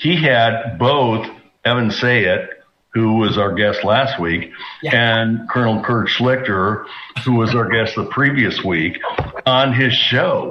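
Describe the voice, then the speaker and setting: With noticeable background noise behind him, a man speaks at a very slow pace and medium pitch with ordinary pitch variation. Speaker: retired naval aviator. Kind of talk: radio talk show.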